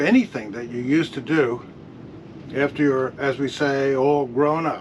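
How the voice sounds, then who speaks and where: Noticeable background noise sits under a man's fairly high voice. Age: 80s+. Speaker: sailing video host and author. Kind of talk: scripted narration.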